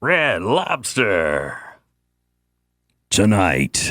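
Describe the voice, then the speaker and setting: In a booming put-on character voice, fairly low for a man, a man speaks with very wide pitch swings on a very clean recording with a silent background. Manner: booming, theatrical.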